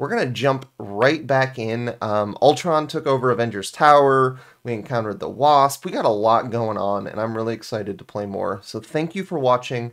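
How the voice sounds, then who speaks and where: The man talks fairly quickly with ordinary pitch variation, and the background is quiet. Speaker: gaming youtuber. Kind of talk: casual vlog chat. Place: home room.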